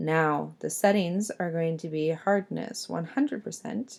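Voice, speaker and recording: Delivery is fairly slow. A dark, mellow tone colors the voice. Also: woman. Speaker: art teacher. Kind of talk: tutorial.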